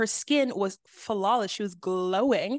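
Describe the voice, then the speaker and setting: A woman's voice, with a dry, close sound and no echo. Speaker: podcast co-host. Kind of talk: casual chat.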